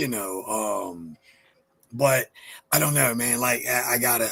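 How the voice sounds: A man at a fairly slow pace, bright and sharp in tone with a husky, rough edge and ordinary pitch variation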